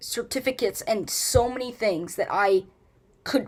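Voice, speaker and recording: On a very clean recording with a silent background, a woman speaks at a fairly slow pace. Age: 18. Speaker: streamer. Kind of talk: live stream monologue. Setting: live stream. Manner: halting, many fillers.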